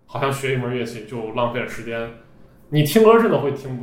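A man's fairly high voice with very wide pitch swings, audible room echo and noticeable background noise. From Xi'an, Shaanxi, China. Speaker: podcaster and IT engineer. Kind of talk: casual interview chat. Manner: hesitant, many fillers and repetitions.

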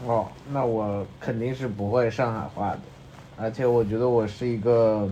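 Fairly even intonation, a slight Changsha accent, and a moderate pace. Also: man, medium pitch for a man. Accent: Mandarin with slight Changsha tinge. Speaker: podcast co-host. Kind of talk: casual chat.

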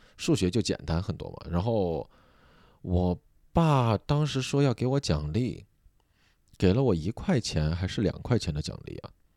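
With a Sichuan accent, a man speaks at a fairly slow pace, leaving long, frequent pauses, his fairly low voice dark and mellow in tone. His pitch swings very widely, and the recording is very clean with a silent background. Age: 30s. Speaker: podcast host and comedian. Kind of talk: sleep-aid casual chat.

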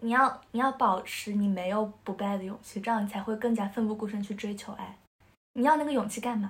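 A woman speaks fairly quickly at a fairly high pitch. Her voice is somewhat breathy, and her intonation stays fairly even. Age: 20s. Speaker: episode host on a friends' podcast. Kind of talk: casual chat. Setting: in-person recording, three people face to face.

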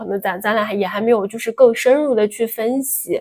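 A woman's fairly high voice moves with ordinary pitch variation. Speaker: podcast co-host. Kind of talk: casual chat. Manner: soft-spoken.

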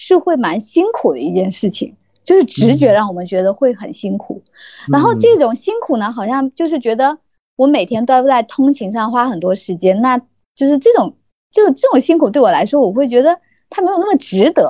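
The voice is dark and mellow with very wide pitch swings, moving at a fairly quick pace in a dry, close recording with no echo. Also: woman, high pitch for a woman. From Yangzhou, Jiangsu, China. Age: 30s. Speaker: purchasing professional. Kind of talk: casual interview. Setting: online call.

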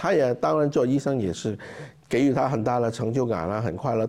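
A man speaks over noticeable background noise. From Hong Kong. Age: 50s. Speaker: charity founder. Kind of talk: interview conversation. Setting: conference room with live audience.

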